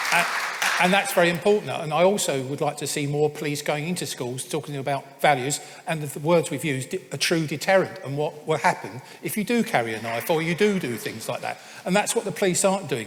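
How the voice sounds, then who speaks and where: Over noticeable background noise, a man speaks fairly quickly in a fairly high pitch with ordinary pitch variation. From England. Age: 70s. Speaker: mayoral candidate and businessman. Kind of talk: political hustings debate.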